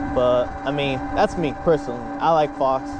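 Amid loud background noise, a man's voice comes through dry, with no echo. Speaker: rider vlogger. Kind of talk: casual vlog chat. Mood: relaxed, positive. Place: motorbike.

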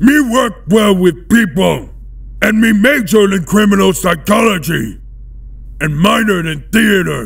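Shouting at a moderate pace, a man uses a high pitch. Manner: broken grammar, eager.

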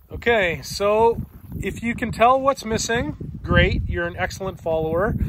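A man at a moderate pace, in a dry sound with no echo, over noticeable background noise. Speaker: car hobby vlogger. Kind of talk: casual vlog chat. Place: open country. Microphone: phone near.

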